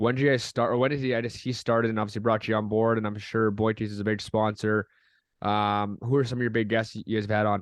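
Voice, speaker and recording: Very fast and monotone, a man speaks in a fairly low pitch with flat intonation. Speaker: podcast host. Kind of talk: casual chat.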